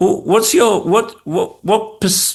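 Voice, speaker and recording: In a slight northern English accent, a man talks at a fairly slow pace with ordinary pitch variation. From Yorkshire, northern England. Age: middle-aged. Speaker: podcast host and design executive. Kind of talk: interview conversation. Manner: halting.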